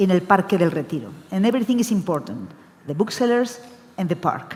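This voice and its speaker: Lively intonation from a woman at a medium pitch, against noticeable background noise. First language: Spanish. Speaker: book fair director. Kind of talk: panel discussion. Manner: halting.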